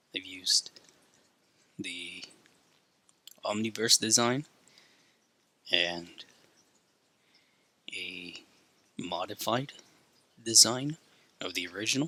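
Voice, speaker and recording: Quiet and very slow, a man's medium-pitched voice has ordinary pitch variation, big swings in loudness and long, frequent pauses. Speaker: drawing youtuber. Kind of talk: casual tutorial commentary. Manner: holding voice back, quiet.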